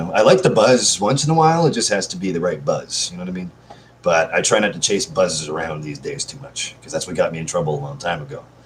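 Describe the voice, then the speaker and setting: A man talks at a very fast pace. His loudness swings a lot. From Canada. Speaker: live streamer. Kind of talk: casual live stream chat. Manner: high energy.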